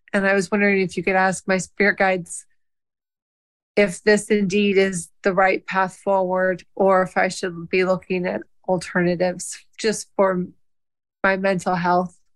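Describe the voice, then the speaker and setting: In an American accent, a woman talks at a moderate pace with a medium pitch. Her intonation is monotone and flat. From US Midwest. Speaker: caller. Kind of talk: casual chat.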